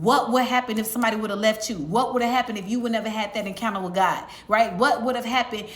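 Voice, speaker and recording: A woman's fairly high-pitched voice amid noticeable background noise. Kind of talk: sermon-style evangelistic message to camera. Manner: conversational, earnest, fluent with filler words.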